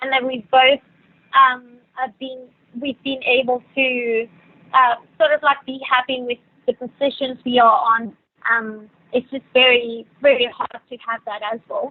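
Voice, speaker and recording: A woman with a South African accent and a high pitch speaks at a fairly slow pace in a monotone, flat intonation, with big swings in loudness. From Venezuela. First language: Spanish. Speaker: yacht stewardess. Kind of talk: podcast interview. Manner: hesitant, many fillers.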